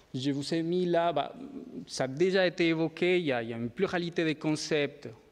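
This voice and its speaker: A man with a fairly high pitch and ordinary pitch variation at a moderate pace, quiet background. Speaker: education researcher. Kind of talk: conference talk. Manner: hesitant, many fillers.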